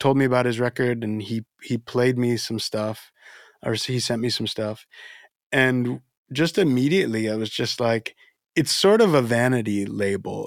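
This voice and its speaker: The sound is dry and close with no echo, on a very clean recording with a silent background. A man with an American accent and a medium pitch talks at a fairly slow pace with ordinary pitch variation and long, frequent pauses. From Florida, US (Dominican family). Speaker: musician. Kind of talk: casual interview chat. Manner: halting.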